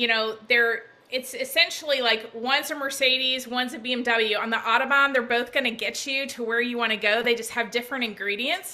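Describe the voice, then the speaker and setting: A woman talks at a fairly quick pace with hardly any pauses. Her pitch is high and her intonation fairly even. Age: 50s. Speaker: network marketing presenter. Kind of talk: sales presentation on video call.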